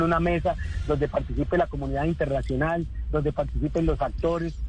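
Man talking at a very fast pace, with audible room echo and noticeable background noise. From Colombia, Neiva (Huila). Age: 50s. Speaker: politician, vice-presidential candidate. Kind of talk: radio interview.

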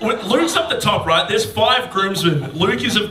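A man with an Australian accent uses a raised, projected voice at a high pitch and a fairly quick pace. Room echo is audible, as is noticeable background noise. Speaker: comedian podcast host. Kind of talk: live podcast banter. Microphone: poor audio quality from faulty recorder.

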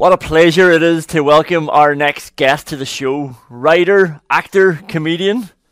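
A man talks at a fairly slow pace with hardly any pauses. His pitch sits fairly high, with ordinary variation, in an unremarkable speaking voice. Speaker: podcast host. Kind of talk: casual interview chat.

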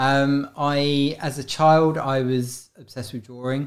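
In a very clean recording with a silent background, a man speaks with fairly even intonation. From South London. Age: 50s. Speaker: street and gallery artist. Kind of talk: casual interview.

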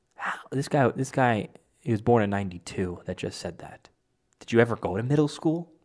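The speech has an animated tone at a moderate pace. The recording is very clean, with a silent background. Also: man. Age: 20s. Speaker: political commentator. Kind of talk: political commentary monologue.

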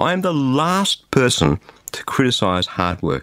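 In a dry, close recording with no echo, a man with an Australian accent speaks at a fairly high pitch with very wide pitch swings. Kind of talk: radio devotional message.

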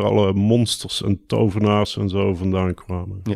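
At a moderate pace, a man speaks in a plain, everyday voice, fairly low in pitch, with fairly even intonation. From southern Netherlands, Brabant (Mierlo). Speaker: poet and designer. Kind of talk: casual interview. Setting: outdoors overlooking a bulb field.

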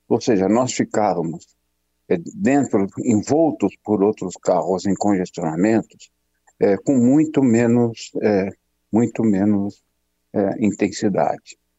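A man's fairly low voice at a very slow pace, with ordinary pitch variation and very even loudness. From Brazil, São Paulo. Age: 60s. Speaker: pathologist and medical professor. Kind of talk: radio interview. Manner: halting, many fillers.

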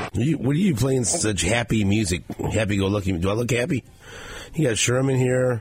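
A man's medium-pitched voice at a fairly quick pace, with very even loudness and noticeable background noise. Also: ordinary pitch variation. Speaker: radio host. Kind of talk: sports talk radio show. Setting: studio.

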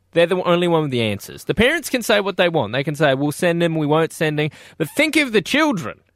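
A high-pitched man in an Australian accent, very fast with hardly any pauses and lively intonation, on a very clean recording with a silent background. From Perth, Australia. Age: 20s. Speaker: radio host. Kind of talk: breakfast radio banter.

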